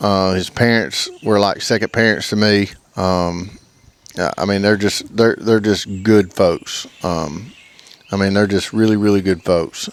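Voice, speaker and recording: At a fairly slow pace, a man speaks in a fairly low pitch with fairly even intonation. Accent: Alabama. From US South, Alabama. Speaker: duck club owner, hunter. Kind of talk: casual interview chat. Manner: halting, stammers.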